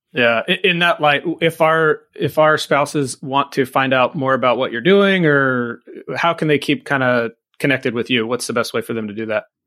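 A man with an unremarkable speaking voice talks at a moderate pace in an American accent, his pitch fairly high and his pitch variation ordinary. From US California. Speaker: podcast host, retired fire captain. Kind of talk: casual interview chat.

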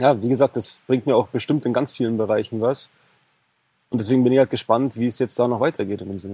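A man's dark, mellow, medium-pitched voice with fairly even intonation, fairly quick pace and long, frequent pauses, in a dry, close sound with no echo. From Bavaria, Germany. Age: 30s. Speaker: e-commerce coaching client. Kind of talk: interview. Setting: in person on Mallorca.

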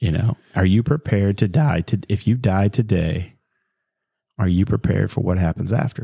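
A man with a fairly low pitch and a dark, mellow, somewhat breathy tone speaks at a moderate pace with ordinary pitch variation and very even loudness, in a dry, close sound with no echo. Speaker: podcast co-host. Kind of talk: casual chat.

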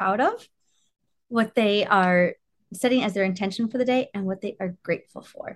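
A woman with a plain, everyday voice talks at a moderate pace, with ordinary pitch variation. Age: 40s. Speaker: podcast host, orthodontist. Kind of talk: interview; guided self-care exercise.

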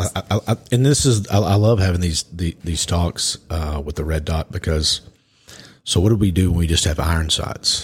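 In a Texan accent, a man speaks at a moderate pace with a very deep, low pitch, ordinary pitch variation and a somewhat breathy quality, in a dry, close sound with no echo. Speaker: podcast co-host and firearms trainer. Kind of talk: casual interview. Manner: halting, repeats words.

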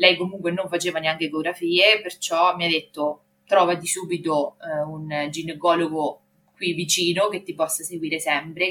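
Her tone is bright and sharp. The woman talks at a moderate pace with a fairly low pitch. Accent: slight Marche. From Marche, Italy. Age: 30s. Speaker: mother sharing birth story. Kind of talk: testimony. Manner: halting.

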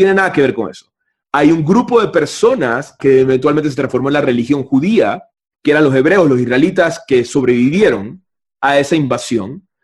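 A man with a plain, everyday voice talks at a moderate pace, his intonation lively. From Panama. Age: 30s. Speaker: spiritual teacher. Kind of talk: casual chat. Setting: video call.

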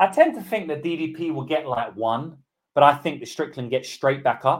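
A man with a British accent. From UK. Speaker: MMA betting tipster. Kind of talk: live stream betting breakdown. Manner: animated.

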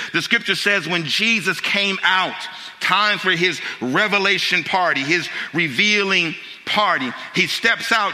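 Over noticeable background noise, a man uses a raised, projected voice with an animated tone. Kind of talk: sermon. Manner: animated, call-and-response preaching with rhetorical questions.

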